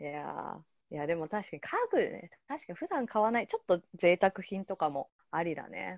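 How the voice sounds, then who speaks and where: Her loudness swings widely as a woman speaks at a moderate pace. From Japan, Yokohama. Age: 30s. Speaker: podcast host. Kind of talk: casual chat.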